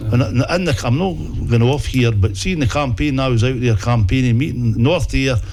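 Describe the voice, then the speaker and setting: A man with an Ayrshire accent, medium pitch, moderate pace and very even loudness, with audible room echo and noticeable background noise. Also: ordinary pitch variation. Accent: Ayrshire Scottish. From Scotland, Ayrshire (Dalrymple, Doon Valley). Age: 60s. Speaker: local councillor. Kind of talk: interview. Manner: halting.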